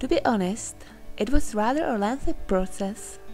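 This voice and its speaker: With music in the background, the woman delivers her words at a moderate pace. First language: Czech. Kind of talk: personal digital story narration.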